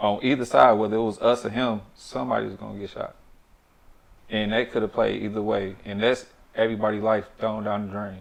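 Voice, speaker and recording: A soft-spoken man talks at a fairly quick pace. His pitch is fairly low and his intonation fairly even. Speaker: former offender. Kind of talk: casual interview.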